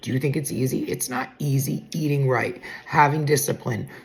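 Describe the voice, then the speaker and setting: Noticeable background noise sits behind a woman speaking at a fairly slow pace. Her pitch is very deep and low. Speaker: weight loss content creator. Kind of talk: casual vlog talk. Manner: loud; sarcastic.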